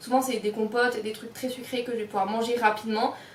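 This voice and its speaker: Noticeable background noise and audible room echo surround a woman's voice. She talks fairly quickly at a high pitch. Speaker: lifestyle and triathlon vlogger. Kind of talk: casual vlog talk to camera. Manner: fast.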